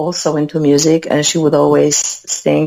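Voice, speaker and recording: The speaker has a Polish accent and keeps a moderate pace. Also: woman. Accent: Polish accent, noticeable but clear. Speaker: musician. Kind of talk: interview. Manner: talkative.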